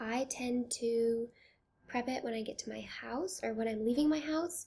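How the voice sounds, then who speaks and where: A woman's fairly high, somewhat breathy voice with a dark, mellow tone at a moderate pace. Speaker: beauty and lifestyle vlogger. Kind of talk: product review vlog. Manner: soft-spoken.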